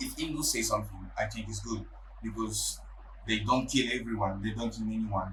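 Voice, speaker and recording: In a space with audible room echo, a man talks at a fairly quick pace. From Ivory Coast. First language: French. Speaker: podcast guest. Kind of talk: casual interview conversation. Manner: halting, non-fluent English.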